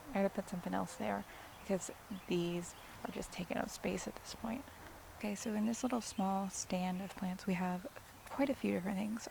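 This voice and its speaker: Against noticeable background noise, a woman speaks at a fairly quick pace with ordinary pitch variation and long, frequent pauses. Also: medium pitch for a woman. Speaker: cut flower gardener. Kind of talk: casual garden tour talk to camera. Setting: outdoors.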